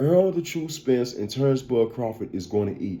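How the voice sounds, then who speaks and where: Speaking at a moderate pace, a man with an American accent has a dark, mellow tone and lively intonation. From US Midwest, St. Louis, Missouri. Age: 40s. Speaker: podcast host and barber. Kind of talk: casual commentary podcast. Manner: animated; repetitive, stammering restarts.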